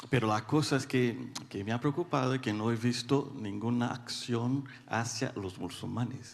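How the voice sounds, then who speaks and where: A man talks with a Brazilian accent and hardly any pauses. His intonation stays fairly even. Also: medium pitch for a man, fairly slow pace. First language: Portuguese (speaking Spanish). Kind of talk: audience question. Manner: halting.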